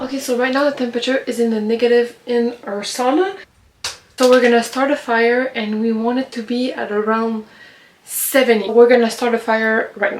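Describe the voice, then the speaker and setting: With noticeable background noise, a woman speaks at a moderate pace in a high voice with fairly even intonation. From Quebec, suburbs of Montreal. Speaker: lifestyle vlogger. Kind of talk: casual vlog Q&A. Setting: outdoors in the woods by a sauna.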